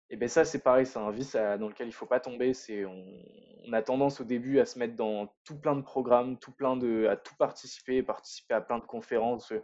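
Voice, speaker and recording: This man talks at a moderate pace in a medium pitch, his intonation fairly even. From northern France, Lille area. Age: 20s. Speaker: entrepreneur, urban spirulina farmer. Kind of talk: casual interview. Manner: hesitant, many repetitions.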